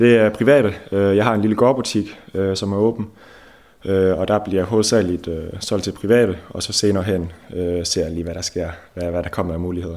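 A man speaks at a moderate pace and a fairly low pitch. His intonation is fairly even, broken by long, frequent pauses. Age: 20s. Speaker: fish smokery owner. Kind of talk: interview. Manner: halting.

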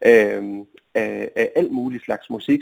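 The voice belongs to a man. His pitch sits in the medium range. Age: 30s. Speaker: guitarist. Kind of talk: phone interview. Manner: halting.

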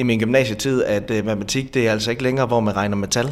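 A man's voice at a medium pitch. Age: 30s. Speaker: bakery and café owner. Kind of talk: interview. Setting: on location in a bakery. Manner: hesitant, many filler sounds.

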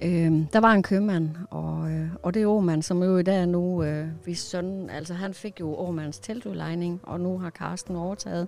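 This is a plain, everyday voice with fairly even intonation. There are hardly any pauses. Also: woman, fairly low pitch for a woman, fairly slow pace. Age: 50s. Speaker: church singer. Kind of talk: casual chat. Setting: parked old van.

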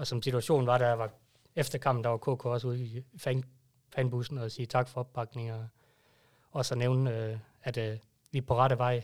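On a very clean recording with a silent background, a man at medium pitch talks at a moderate pace with long, frequent pauses and monotone, flat intonation. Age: 30s. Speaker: fan club member. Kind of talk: casual chat. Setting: studio.

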